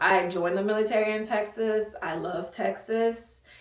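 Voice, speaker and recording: Through audible room echo, a woman speaks slowly-ish at a fairly slow pace, fairly high in pitch, with fairly even intonation. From Haiti. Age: 20s. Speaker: content creator, soldier. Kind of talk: casual Q&A vlog. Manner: casual, chatty.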